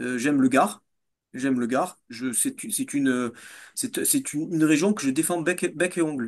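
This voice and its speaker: A man talks at a moderate pace with a southern French accent. His pitch swings very widely against a quiet background. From southern France, Nîmes. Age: 40s. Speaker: fitness coach and entrepreneur. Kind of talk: interview. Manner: halting, many fillers and repetitions.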